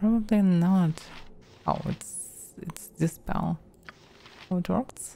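A very slow, somewhat breathy voice with a dark, mellow tone, ordinary pitch variation, and long, frequent pauses. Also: woman, fairly low pitch for a woman. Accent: Russian. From Russia. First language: Russian. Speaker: vtuber, game streamer. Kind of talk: casual gameplay commentary.

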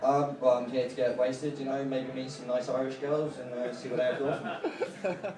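A man at medium pitch with hardly any pauses, audible room echo and noticeable background noise. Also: moderate pace. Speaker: stand-up comedian. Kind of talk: stand-up comedy. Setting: stage with audience. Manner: animated, punchy, swearing-laden delivery with filler words. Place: bar.

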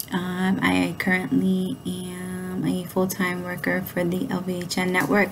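A woman speaks with an American accent at very even loudness. There is noticeable background noise. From New York City, Brooklyn. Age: 30s. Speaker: college student. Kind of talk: self-introduction video. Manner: halting, frequent fillers. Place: home room. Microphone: webcam.

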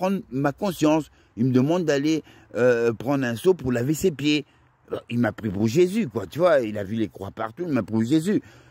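A man with a dark, mellow tone and a fairly high pitch speaks with very wide pitch swings. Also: dry, close sound with no echo. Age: 50s. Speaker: vlogger. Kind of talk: monologue vlog. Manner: halting.

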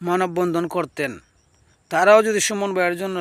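The speaker is a man. He talks with a high pitch. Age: 30s. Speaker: YouTube commentator. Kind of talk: vlog commentary.

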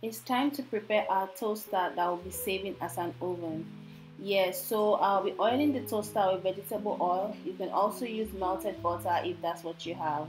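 A woman at a moderate pace with lively intonation, music in the background. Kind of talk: tutorial.

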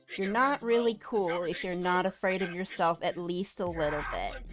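Over clear background noise, a female-sounding put-on character voice speaks at a medium pitch and a moderate pace. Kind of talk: hyper casual streamer banter. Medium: virtual streamer. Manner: playful, silly, teasing.

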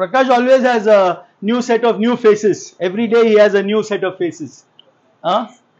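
A man with a high pitch talks at a moderate pace with ordinary pitch variation and big swings in loudness. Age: 50s. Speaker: lawyer, motivational speaker. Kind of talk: motivational speech. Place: classroom. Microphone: lapel.

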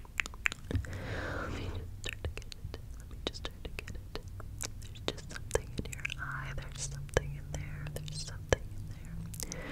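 A soft-spoken woman is whispering. She keeps a moderate pace. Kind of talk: soft ASMR role-play talk. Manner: soft close whisper, semi-intelligible. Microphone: phone near.

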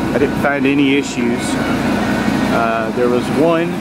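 The speech moves at a fairly slow pace. Loud background noise runs underneath it. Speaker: RV sales inspector. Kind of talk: tutorial walk-through commentary. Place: street. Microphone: phone near.

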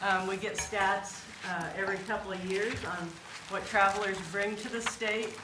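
Noticeable background noise sits behind a woman with an American accent. She speaks at a moderate pace in a monotone, flat way. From Kansas. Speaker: state tourism program manager. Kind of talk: presentation. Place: meeting room.

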